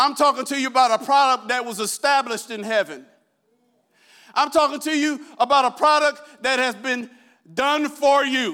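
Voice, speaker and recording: A man projects a raised voice at an extremely high pitch with a bright, sharp tone. He keeps a moderate pace and fairly even intonation. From Iowa, US Midwest.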